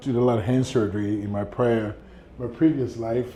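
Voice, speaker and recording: Medium-pitched man with an American accent, moderate pace and fairly even intonation. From Ghana. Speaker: plastic surgeon. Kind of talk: office tour; interview, life story. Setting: consultation office.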